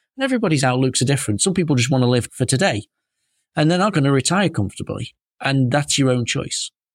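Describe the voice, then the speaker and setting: On a very clean recording with a silent background and a dry, close sound with no echo, a man with a British accent speaks very fast in a fairly high pitch, with lively intonation and very even loudness. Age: 30s. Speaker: financial adviser podcast host. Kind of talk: solo podcast monologue.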